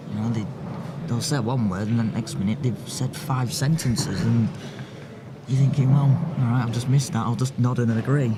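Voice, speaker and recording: With a Yorkshire accent, a man talks at a fairly quick pace and medium pitch with ordinary pitch variation, leaving long, frequent pauses, amid noticeable background noise and audible room echo. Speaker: pool commentator. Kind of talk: live commentary.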